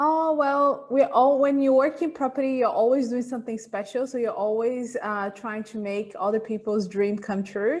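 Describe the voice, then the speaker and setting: With hardly any pauses, a woman talks at a moderate pace in a high voice with ordinary pitch variation. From Italy, then Brazil from age 10. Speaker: real estate agent. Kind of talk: casual interview.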